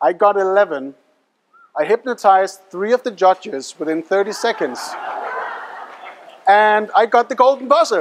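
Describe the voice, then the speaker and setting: A man's animated, high-pitched voice with a non-native accent, lively intonation, a moderate pace, and long, frequent pauses. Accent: foreign accent in English. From Denmark. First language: Danish. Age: young. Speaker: hypnotist and mentalist performer. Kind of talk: live stage show patter. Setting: stage with audience.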